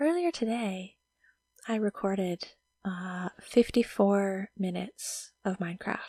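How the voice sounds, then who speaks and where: A somewhat breathy woman's voice, medium in pitch, with a dark, mellow tone. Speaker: Minecraft let's play YouTuber. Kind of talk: casual talk to camera, gameplay commentary.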